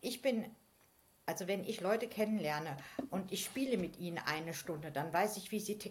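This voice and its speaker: A woman with a medium pitch talks at a moderate pace, her voice somewhat breathy. Her intonation is lively, and she leaves long, frequent pauses. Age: 50s. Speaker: game facilitator. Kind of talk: casual chat. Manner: hesitant, many fillers.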